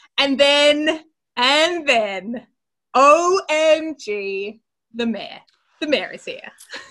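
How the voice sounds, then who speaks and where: With an Australian accent, a woman projects a raised, high-pitched voice with a bright, sharp tone, big swings in loudness, and long, frequent pauses. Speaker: podcast co-host. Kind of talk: casual chat. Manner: animated.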